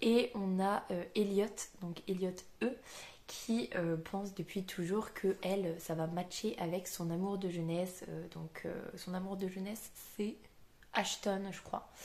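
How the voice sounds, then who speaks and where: A woman speaks at a very slow pace. Her medium pitch carries fairly even intonation. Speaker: booktuber. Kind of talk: casual book review vlog. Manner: hesitant, many fillers.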